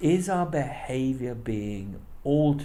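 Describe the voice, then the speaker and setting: Audible room echo surrounds a man's somewhat breathy, dark, mellow voice with a British accent. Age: 60s. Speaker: politics professor. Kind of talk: interview. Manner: halting.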